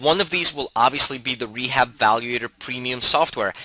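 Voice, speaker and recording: A man's medium-pitched voice is heard with noticeable background noise behind it. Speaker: real estate investing educator. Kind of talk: tutorial. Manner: fast.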